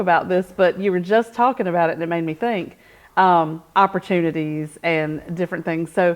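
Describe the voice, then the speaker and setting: Against a quiet background, a woman with a North Carolina accent talks at a fairly quick pace and medium pitch. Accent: US Southern (North Carolina). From North Carolina, Rockingham County. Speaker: chamber of commerce president, show host. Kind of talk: interview. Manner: loud.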